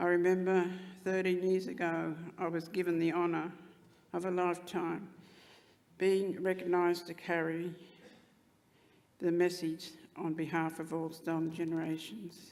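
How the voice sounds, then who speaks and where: Amid audible room echo, a woman speaks at a fairly low pitch in monotone, flat intonation, with long, frequent pauses. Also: moderate pace. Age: 80s+. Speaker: Stolen Generations survivor. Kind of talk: speech at commemoration. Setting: stage with audience.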